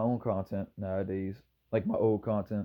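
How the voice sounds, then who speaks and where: A man speaks with a Maryland accent. His pace is very fast. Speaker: YouTuber. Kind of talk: casual vlog monologue. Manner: casual, rambling with repetitions.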